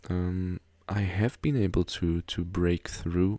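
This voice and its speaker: A man speaks quietly at a very slow pace in a very deep, low voice. The sound is dry and close with no echo. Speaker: gaming YouTuber. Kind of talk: game update commentary. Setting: home recording after midnight. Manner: quiet, low volume; hesitant with many fillers.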